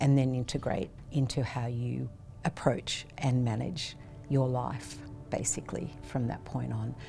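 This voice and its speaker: Woman's very deep, low voice in an Australian accent, dark and mellow in tone, somewhat breathy, with ordinary pitch variation. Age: 70s. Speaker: cancer patient. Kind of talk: testimony.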